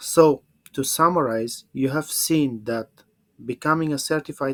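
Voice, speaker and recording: A man at a fairly slow pace, with a dry, close sound and no echo. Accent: Bulgarian. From Bulgaria. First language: Bulgarian. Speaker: English teacher. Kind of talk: webinar presentation. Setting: online webinar. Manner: halting.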